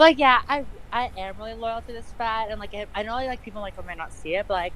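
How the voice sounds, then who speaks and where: A woman's fairly high voice, ordinary pitch variation, and very fast pace. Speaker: wrestler. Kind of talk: casual interview.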